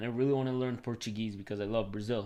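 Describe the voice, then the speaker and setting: A Venezuelan accent at a fairly quick pace, with fairly even intonation and a quiet background. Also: man. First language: Spanish. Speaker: tech YouTuber and software developer. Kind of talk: live stream Q&A with chat. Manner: casual, filler-heavy. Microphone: new mic.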